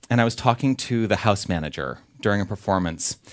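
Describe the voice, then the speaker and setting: Speaking at a fairly quick pace, a man with a Californian accent uses a fairly low pitch and lively intonation. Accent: California. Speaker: minister. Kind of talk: sermon. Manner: casual, conversational.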